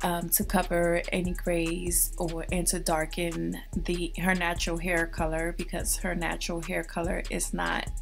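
A woman talks rather slowly while music plays behind her. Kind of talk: tutorial narration.

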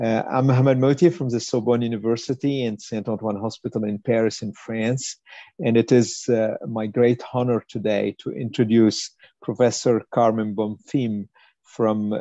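Against a quiet background, a man speaks at a moderate pace with a dark, mellow tone and fairly even intonation, the sound dry with no echo. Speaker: webinar host, moderator. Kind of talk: formal introduction. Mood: warm, polite. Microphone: video call.

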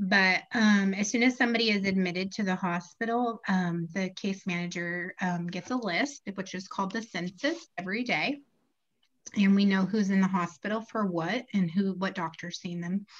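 A woman's somewhat breathy voice shows ordinary pitch variation at a moderate pace. The background is quiet. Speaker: guest. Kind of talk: interview answer. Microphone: video call.

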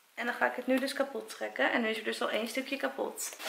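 There is light background noise and audible room echo. A woman speaks at a moderate pace. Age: 20s. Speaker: YouTuber. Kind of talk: casual vlog. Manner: animated. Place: home room. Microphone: camera far.

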